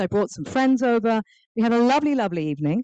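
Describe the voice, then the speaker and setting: A woman with an English accent speaks at a fairly quick pace in a fairly high pitch, her tone dark and mellow. Her pitch swings very widely, and the sound is dry and close with no echo. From England. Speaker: author and nonprofit founder. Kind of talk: public talk. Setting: stage with audience, also streamed on Zoom. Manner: animated.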